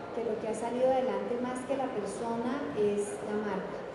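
A woman speaks at a fairly slow pace. Strong room echo and noticeable background noise surround her voice. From Colombia. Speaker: fashion designer. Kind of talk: panel discussion. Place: stage.

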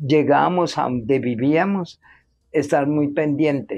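Against a quiet background, a woman speaks in a very deep, low pitch with a dark, mellow tone and lively intonation. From Colombia, Cali. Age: 70s. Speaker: interviewee. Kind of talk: testimony. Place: garden.

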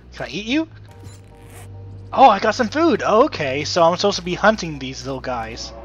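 A man speaks with music in the background. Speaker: gamer. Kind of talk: casual let's play commentary.

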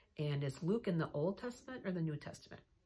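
This woman's voice has a dark, mellow tone and a fairly low pitch, somewhat breathy. Her intonation is lively. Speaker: children's ministry teacher. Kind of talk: lesson review for children. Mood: warm, encouraging. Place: office. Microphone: phone near.

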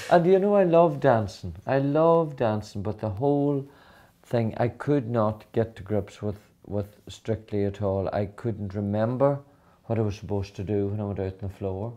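A man in a Donegal Irish accent, fairly low-pitched and dark and mellow in tone, at a moderate pace. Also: ordinary pitch variation. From Ireland (County Donegal). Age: 50s. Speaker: country singer. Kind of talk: interview answer. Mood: warm, friendly, chatty. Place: home room. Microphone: lapel.

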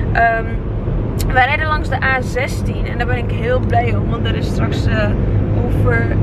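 Loud background noise fills the clip. A woman speaks through it at a fairly slow pace. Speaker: vlogger. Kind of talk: casual vlog chat. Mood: cheerful, relaxed. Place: car. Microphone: phone near.

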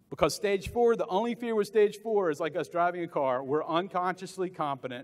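With an American accent, a man talks at a high pitch and ordinary pitch variation. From US South. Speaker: motivational business speaker; motivational speaker. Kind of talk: conference keynote speech. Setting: stage with audience at conference. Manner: animated. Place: hall.

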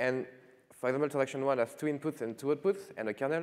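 The man talks at a fairly quick pace. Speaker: conference presenter. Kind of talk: lecture. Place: stage. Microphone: podium.

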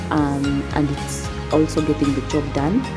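Clear music runs in the background. Over it, a woman talks. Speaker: home vlogger. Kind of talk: casual vlog chat. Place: home room.

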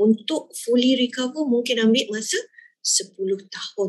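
The background stays quiet as a woman talks in a fairly high pitch. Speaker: business founder and sales leader; sales leader. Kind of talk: sales presentation. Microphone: video call.

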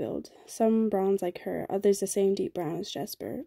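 A natural voice reading aloud, with fairly even intonation

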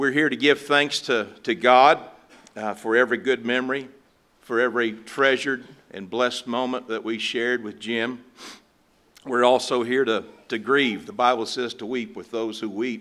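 Bright and sharp in tone, the speaker uses fairly even intonation with an American accent. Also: man, medium pitch for a man, moderate pace. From West Virginia. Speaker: pastor. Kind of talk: funeral sermon. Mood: warm, gently consoling. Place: church. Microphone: podium.

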